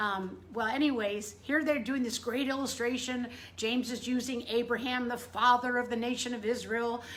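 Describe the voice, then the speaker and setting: Loud and animated in tone, the speech moves at a moderate pace with audible room echo. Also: woman, high pitch for a woman. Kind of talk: casual devotional talk to camera. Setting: indoors in front room.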